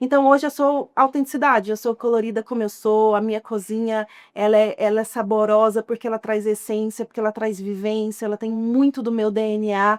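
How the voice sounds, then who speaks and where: A woman with a Goiás accent speaks at a fairly quick pace and fairly high pitch with hardly any pauses and fairly even intonation, in a dry, close sound with no echo on a very clean recording with a silent background. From Goiás, Brazil (outskirts of Goiânia). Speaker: chef and entrepreneur. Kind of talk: interview.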